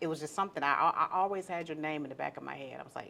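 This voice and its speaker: This woman's voice sits very deep and low, with a bright, sharp tone and ordinary pitch variation. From not from Birmingham. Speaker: transit communications staff interviewer. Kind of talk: interview. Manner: talkative, animated.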